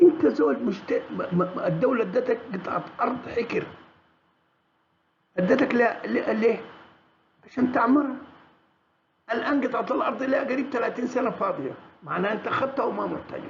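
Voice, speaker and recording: With a Sudanese accent, a man speaks at an extremely high pitch with ordinary pitch variation. Long pauses come often. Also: moderate pace. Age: 70s. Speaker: political commentator. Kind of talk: monologue commentary. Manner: halting, many restarts.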